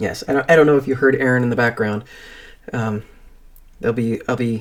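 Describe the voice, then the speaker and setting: A man of medium pitch talks at a fairly quick pace with fairly even intonation. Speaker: streamer. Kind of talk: casual chat. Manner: halting; soft-spoken.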